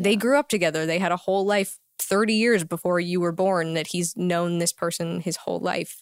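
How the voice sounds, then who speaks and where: In a normal speaking voice, a woman of fairly low pitch talks at a moderate pace with fairly even intonation and hardly any pauses, the sound dry and close with no echo. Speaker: actress. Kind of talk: casual chat. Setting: studio.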